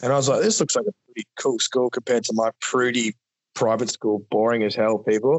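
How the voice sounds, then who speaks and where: The speaker has a normal speaking voice at a fairly quick pace. The intonation stays fairly even. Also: man, medium pitch for a man. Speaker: business founder. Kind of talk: casual interview chat.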